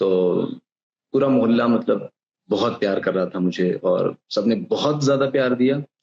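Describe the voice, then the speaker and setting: Medium-pitched male speech with ordinary pitch variation. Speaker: radio jockey. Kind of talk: interview answer.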